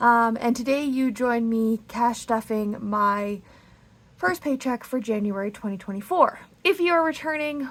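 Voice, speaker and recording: A woman speaks at a fairly slow pace in a fairly high pitch, with a normal speaking voice. Her intonation is lively. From Canada. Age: 30s. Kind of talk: casual talk to camera.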